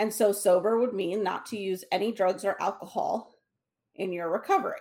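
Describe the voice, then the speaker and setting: Speaking at a fairly quick pace, a woman uses a normal speaking voice. Her pitch is medium and her intonation fairly even. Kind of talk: casual chat. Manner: casual, conversational.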